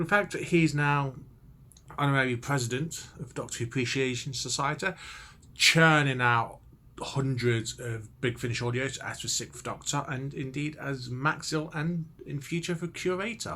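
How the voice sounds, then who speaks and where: Here the tone is bright and sharp, with ordinary pitch variation. The pace is moderate. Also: man, fairly high pitch for a man. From Leicester, England. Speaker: TV show reviewer. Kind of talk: casual video review monologue.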